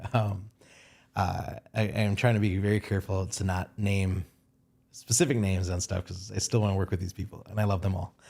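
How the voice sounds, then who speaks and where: The man's voice is somewhat breathy. He talks at a fairly quick pace. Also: very clean recording, silent background. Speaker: photographer. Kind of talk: casual chat. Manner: fast; animated.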